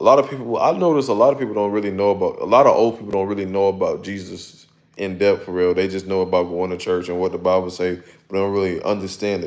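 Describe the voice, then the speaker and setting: A man speaks with an American accent at a fairly low pitch. His intonation is fairly even. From Florida. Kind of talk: testimony. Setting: livestream. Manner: casual, halting with fillers.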